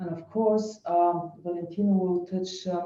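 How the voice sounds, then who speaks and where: Speaking at a fairly slow pace in a non-native accent, a woman has a dark, mellow tone and monotone, flat intonation. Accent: non-native English speaker. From Bulgaria. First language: Bulgarian. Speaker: lawyer. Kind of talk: webinar presentation. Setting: online webinar. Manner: hesitant, many fillers.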